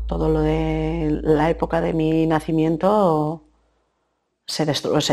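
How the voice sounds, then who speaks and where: A woman with a very deep, low pitch talks against a quiet background. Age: 40s. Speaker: woman searching for her biological mother. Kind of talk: testimony. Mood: serious, reflective, emotional. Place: studio.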